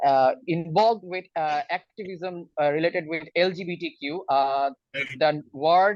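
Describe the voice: The pitch varies in an ordinary way as a man talks. His voice sits fairly high, and his pace is fairly slow.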